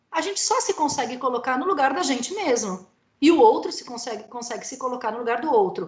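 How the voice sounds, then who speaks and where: A woman speaks in a high pitch with very wide pitch swings. Audible room echo surrounds her voice. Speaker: lecturer. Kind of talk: lecture. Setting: video call. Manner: animated.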